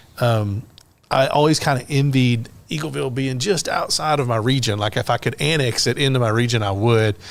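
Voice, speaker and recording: A man with a Middle Tennessee accent at medium pitch, a fairly quick pace and ordinary pitch variation. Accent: Southern US (Middle Tennessee). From Tennessee, Lynchburg area. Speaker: podcast host, tourism worker. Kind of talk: casual interview.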